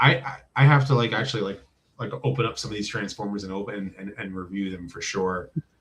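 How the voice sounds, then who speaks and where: Somewhat breathy, this voice moves at a moderate pace with very wide swings in pitch. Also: man. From New Jersey. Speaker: YouTuber, toy reviewer. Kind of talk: casual interview chat.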